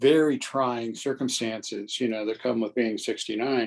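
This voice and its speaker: An unremarkable speaking voice with fairly even intonation. The pace is fairly slow. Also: man. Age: 60s. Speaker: trial lawyer and mayor. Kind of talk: interview.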